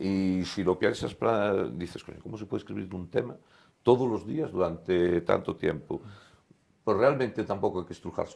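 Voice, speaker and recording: A man with a plain, everyday voice, fairly low in pitch, ordinary pitch variation, big swings in loudness, at a fairly quick pace. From Spain, Galicia (Lugo). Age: 60s. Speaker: sports journalist, former basketball player. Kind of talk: casual interview chat.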